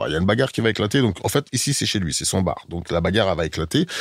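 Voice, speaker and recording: A man with a very deep, low pitch talks very fast, his pitch swinging very widely. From Germany, then Paris from age 10. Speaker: rapper and actor. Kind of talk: casual interview. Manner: hesitant, many fillers.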